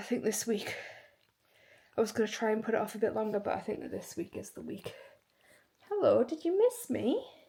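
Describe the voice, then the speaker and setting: With an English accent, a woman talks at a fairly quick pace. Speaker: fitness vlogger. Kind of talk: casual vlog talk. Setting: at home after run.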